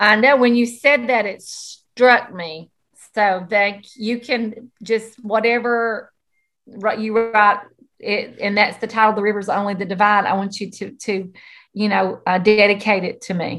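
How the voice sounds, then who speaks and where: Speaking in a Southern US accent, a woman uses a fairly high pitch and fairly even intonation. Her pace is fairly slow, and her loudness swings widely. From US South. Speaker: podcast co-host, school counselor. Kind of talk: casual chat.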